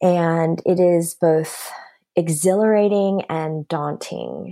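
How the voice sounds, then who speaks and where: Recorded very cleanly against a silent background, a woman with an American accent uses a fairly low pitch, a dark, mellow tone, and fairly even intonation. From United States. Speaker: author and speaker. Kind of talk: interview. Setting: working from home.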